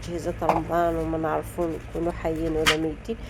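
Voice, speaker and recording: A woman with an Algerian accent at a fairly quick pace, over noticeable background noise. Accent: Algerian Arabic (Darija). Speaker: lifestyle vlogger. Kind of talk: casual vlog talk to viewers.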